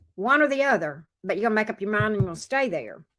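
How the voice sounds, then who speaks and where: A woman speaks in a bright, sharp tone with a fairly high pitch. Her pitch variation is ordinary. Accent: slight Southern US. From US South. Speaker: tarot reader. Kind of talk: live tarot reading.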